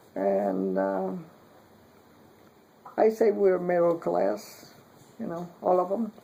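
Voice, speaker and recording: A woman's very slow speech with long, frequent pauses over noticeable background noise. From Puerto Rico. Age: 60s. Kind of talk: interview answer.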